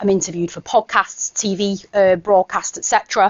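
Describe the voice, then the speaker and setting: A woman speaks in a Mancunian accent. Her pace is fairly quick. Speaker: education consultant and former English teacher. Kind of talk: conference workshop presentation. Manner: casual, with frequent fillers.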